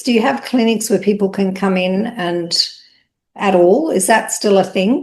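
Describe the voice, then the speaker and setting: A woman speaks in a plain, everyday voice at a medium pitch. Her intonation is lively, and her pace is moderate. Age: 60s. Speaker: interviewer, beauty business owner. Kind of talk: casual interview chat.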